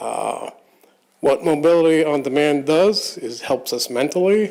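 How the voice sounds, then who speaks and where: An unremarkable speaking voice from a man, fairly high in pitch, fairly slow, with ordinary pitch variation. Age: 60s. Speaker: public commenter, blind advocate. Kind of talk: public comment at board meeting. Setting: public board meeting.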